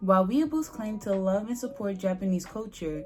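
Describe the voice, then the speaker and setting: With ordinary pitch movement, a woman in an unremarkable speaking voice talks at a medium pitch and a moderate pace. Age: 20s. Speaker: anime YouTuber. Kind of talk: casual talk to camera.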